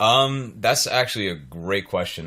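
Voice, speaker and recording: Bright and sharp in tone, a man with an American accent speaks with ordinary pitch variation. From North Carolina, US South. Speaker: musician. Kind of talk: interview. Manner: halting, many fillers and repeats.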